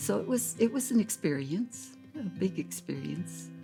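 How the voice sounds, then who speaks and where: Over music in the background, a woman with an American accent speaks with very wide pitch swings. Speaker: grandmother. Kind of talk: interview answer.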